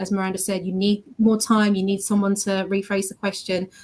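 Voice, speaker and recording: A somewhat breathy woman's voice at a medium pitch. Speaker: graduate recruitment team member. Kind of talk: webinar panel talk. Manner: fast.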